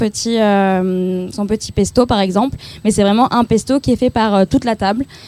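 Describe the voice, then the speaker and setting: This woman's voice has a fairly high pitch and a dark, mellow tone, with fairly even intonation. She speaks at a moderate pace in a dry, close sound with no echo. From southeastern France. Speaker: nonprofit employee. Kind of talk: interview. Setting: outdoors.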